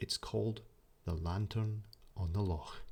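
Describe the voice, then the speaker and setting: A soft-spoken man talks in a Scottish accent. His pace is very slow. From Scotland. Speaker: sleep story narrator. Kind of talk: sleep story. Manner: soft-spoken, slow.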